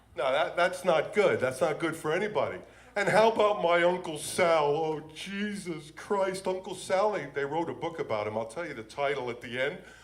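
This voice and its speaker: A man's high-pitched voice at a moderate pace, with noticeable background noise and audible room echo. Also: lively intonation, hardly any pauses. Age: 60s. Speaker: comedian. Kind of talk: stand-up. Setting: stage with audience. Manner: animated.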